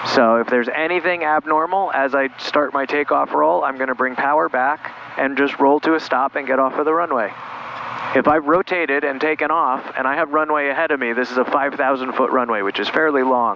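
A man at a fairly quick pace with ordinary pitch variation, over light background noise, in a dry sound with no echo. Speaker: pilot instructor. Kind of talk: tutorial. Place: plane. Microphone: headset.

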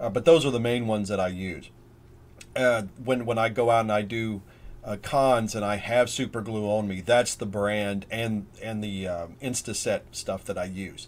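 A man talks at a moderate pace in an ordinary speaking voice. His pitch is fairly low and his intonation fairly even. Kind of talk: tutorial. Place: workshop.

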